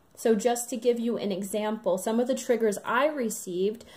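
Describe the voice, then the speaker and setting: A woman's fairly high voice at a moderate pace, fairly even in intonation, on a very clean recording with a silent background. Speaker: spiritual channeler and twin flame guide. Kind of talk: channeled spiritual message to camera. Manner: many filler ums, hesitant.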